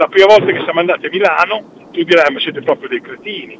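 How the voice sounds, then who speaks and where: A man rushes through his words at a very fast pace, with noticeable background noise present. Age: 60s. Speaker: former football ultras member. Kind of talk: phone interview, storytelling.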